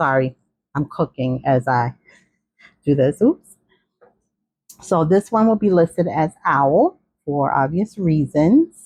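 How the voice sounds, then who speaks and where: The speaker has a New York accent and lively intonation. The sound is dry and close, with no echo. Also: woman. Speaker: craft seller showing handmade journals. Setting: home, cooking while filming. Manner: casual, chatty.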